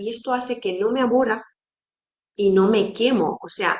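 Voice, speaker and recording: A woman's fairly high voice with a non-native accent, at a fairly slow pace with ordinary pitch variation. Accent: non-native Spanish speaker. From Romania. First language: Romanian (speaking Spanish). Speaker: psychologist. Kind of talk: educational talk to fellow therapists.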